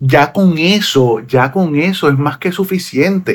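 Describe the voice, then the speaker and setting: Very slowly, a man speaks with a Puerto Rican accent. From Puerto Rico. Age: 40s. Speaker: singer and preacher. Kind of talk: casual interview. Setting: video call.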